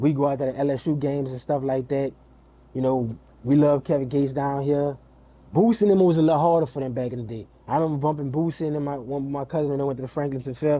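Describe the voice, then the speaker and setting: With a New Orleans accent, a man talks very fast in a fairly high pitch, his tone dark and mellow and his intonation fairly even. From New Orleans, Louisiana. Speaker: music artist manager. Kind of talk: interview.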